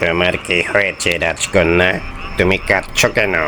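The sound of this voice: In a cartoonish character voice, a man talks at a fairly slow pace with a very deep, low pitch over loud background noise.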